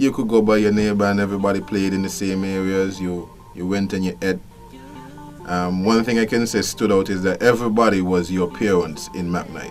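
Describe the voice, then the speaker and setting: With music in the background, a man speaks in a Kittitian accent at a fairly low pitch, a fairly quick pace and fairly even intonation. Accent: Kittitian Caribbean English. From Saint Kitts. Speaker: customs official. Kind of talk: interview answer.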